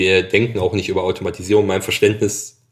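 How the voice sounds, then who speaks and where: At a very fast pace, a man with a somewhat breathy voice and fairly even intonation speaks in a very clean recording with a silent background. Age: 40s. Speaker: agricultural machinery product manager. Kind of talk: interview.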